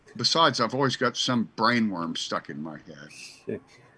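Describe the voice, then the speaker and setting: A bright, sharp tone with vocal fry runs through very wide pitch swings at a moderate pace. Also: man. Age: 60s. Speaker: church founder and radio host. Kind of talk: casual chat.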